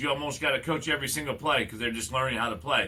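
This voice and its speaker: A man speaks loudly in a bright, sharp tone, his medium pitch rising and falling in an ordinary way. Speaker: sports coach and teacher. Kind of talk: casual chat. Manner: halting.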